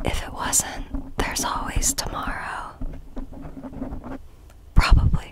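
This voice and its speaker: A woman whispers in a gentle tone at a very slow pace, with long, frequent pauses. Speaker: ASMR content creator. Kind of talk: casual talk to camera, ASMR mic tapping video. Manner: gentle, whispered, friendly. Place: home room. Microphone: studio mic.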